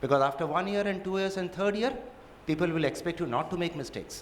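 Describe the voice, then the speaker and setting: A man's high voice in a Gujarati accent, with ordinary pitch variation and audible room echo. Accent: Indian English, Gujarati. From India, Gujarat. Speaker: judge. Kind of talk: lecture.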